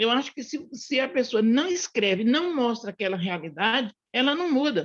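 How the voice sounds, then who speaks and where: A woman speaks at a moderate pace and a high pitch. Her pitch swings very widely. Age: 60s. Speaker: book club participant. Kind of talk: casual discussion. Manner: halting.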